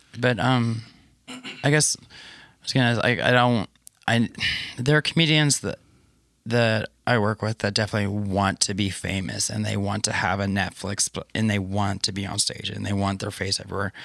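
In a very clean recording with a silent background and a dry, close sound with no echo, a man with a plain, everyday voice talks at a moderate pace and fairly low pitch, with ordinary pitch variation. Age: 30s. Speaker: comedian. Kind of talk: casual chat. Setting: basement studio.

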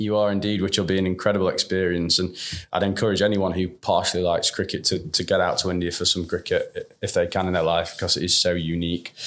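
In a Yorkshire accent, a man with a very deep, low pitch rushes along at a very fast pace with hardly any pauses, his intonation monotone and flat and his loudness very even. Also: very clean recording, silent background. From northern England, Sheffield. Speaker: managing director of a cricket supporters' travel business. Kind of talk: interview.

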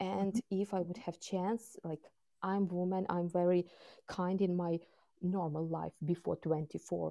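A woman's fairly low, dark, mellow voice with a Ukrainian accent, fairly even intonation and a fairly slow pace. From Ukraine. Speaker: war witness. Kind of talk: interview. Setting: remote call. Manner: halting.

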